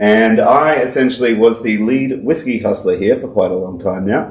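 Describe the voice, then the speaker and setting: A man with an Australian accent speaks at a moderate pace and medium pitch. There is noticeable background noise and audible room echo. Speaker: whiskey podcast co-host, distillery worker. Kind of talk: casual chat.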